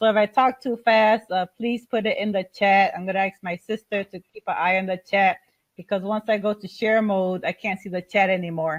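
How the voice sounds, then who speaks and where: A woman's medium-pitched voice with fairly even intonation and big swings in loudness. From Chicago, Puerto Rican family. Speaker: airport manager and home business presenter. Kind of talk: webinar presentation. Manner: fast.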